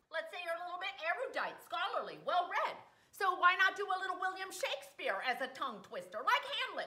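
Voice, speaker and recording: A woman uses a raised, projected voice at an extremely high pitch with very wide pitch swings. She talks at a fairly quick pace. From Wisconsin. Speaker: comedy vlogger. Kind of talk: casual talk to camera. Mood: playful, comedic. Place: kitchen. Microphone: webcam.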